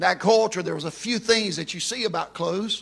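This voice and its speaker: In a raised, projected voice, a man speaks at a moderate pace with ordinary pitch variation. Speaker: preacher. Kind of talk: sermon. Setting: church with congregation. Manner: animated, fervent, call-and-response preaching; emphatic, rising with passion.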